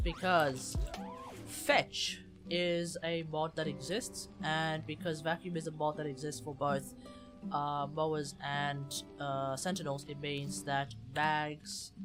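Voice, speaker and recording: Someone speaks quietly at a very slow pace, with music in the background. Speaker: game streamer. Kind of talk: casual livestream discussion.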